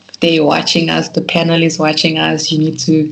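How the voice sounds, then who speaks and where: A woman's very deep, low voice amid noticeable background noise. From South Africa. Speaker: psychology student. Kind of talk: interview.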